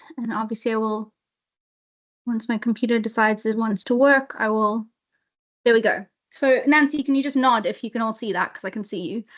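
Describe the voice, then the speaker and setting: A woman with a South African accent speaks fairly quickly at a fairly high pitch with fairly even intonation, pausing long and often against a quiet background. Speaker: webinar presenter, inclusion lead. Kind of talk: webinar presentation. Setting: video call. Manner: hesitant fillers.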